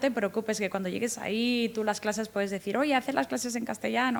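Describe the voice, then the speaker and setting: A woman speaks at a fairly high pitch. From Guatemala. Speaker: in-house lawyer. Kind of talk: interview.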